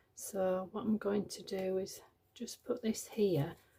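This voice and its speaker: A woman speaks softly at a medium pitch. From Yorkshire, northern England. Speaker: journaling crafter. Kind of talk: craft tutorial. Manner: soft-spoken.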